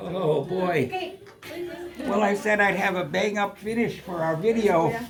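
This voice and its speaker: A man with a high pitch and an animated tone, at a fairly slow pace with ordinary pitch variation, noticeable background noise and audible room echo. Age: 80s+. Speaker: vlogger. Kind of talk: casual chat. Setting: indoor party.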